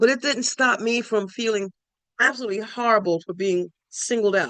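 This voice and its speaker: A woman speaking in a New York accent. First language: Spanish. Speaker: spiritual speaker. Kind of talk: personal testimony talk. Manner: halting, many fillers.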